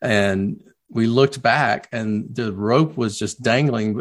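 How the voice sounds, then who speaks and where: Medium in pitch, a man talks in a South Carolina accent. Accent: Southern US (South Carolina). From US South, Low Country of South Carolina. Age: 50s. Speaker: children's book author. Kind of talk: interview.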